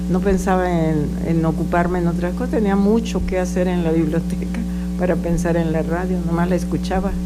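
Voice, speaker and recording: Audible room echo surrounds a woman talking at a fairly quick pace. Her loudness stays very even. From Mexico, Jalisco (Autlán). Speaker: veteran radio and TV journalist. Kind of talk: interview.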